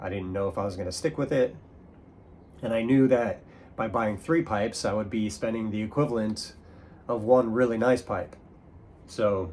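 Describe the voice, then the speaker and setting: This man's voice sits at a medium pitch, moving at a moderate pace with ordinary pitch variation. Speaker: pipe smoking YouTuber. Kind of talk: casual show-and-tell monologue. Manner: halting, many fillers.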